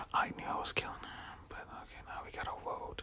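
Someone whispers over noticeable background noise. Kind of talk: whispered gameplay commentary. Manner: whispered.

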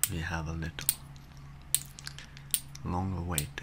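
Over loud background noise, a man speaks at a fairly slow pace. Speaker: ASMR artist. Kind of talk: ASMR relaxation talk for sleep. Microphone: studio mic.

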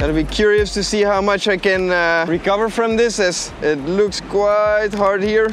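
Fairly even intonation with a dry sound, no echo, and light background noise. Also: man, high pitch for a man. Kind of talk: casual vlog chat. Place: beach.

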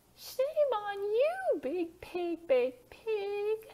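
A woman in a cartoonish character voice with an extremely high pitch. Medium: puppet.

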